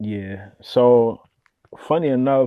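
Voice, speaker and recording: A man talks in a plain, everyday voice at a medium pitch. The background is quiet. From Decatur, Georgia (US South), born in the Bronx. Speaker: rapper and producer. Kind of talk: casual interview. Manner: casual, relaxed with frequent fillers.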